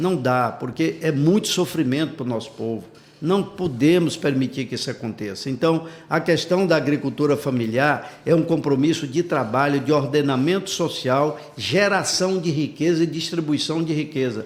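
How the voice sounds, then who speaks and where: A man speaks at a moderate pace with hardly any pauses. His pitch is fairly high, with ordinary variation. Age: 60s. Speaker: politician, gubernatorial pre-candidate. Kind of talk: interview. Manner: animated.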